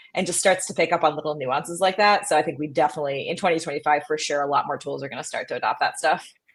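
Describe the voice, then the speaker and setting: A woman speaks with a Midwestern American accent. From US Midwest. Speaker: startup co-founder and podcast host. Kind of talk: casual interview chat.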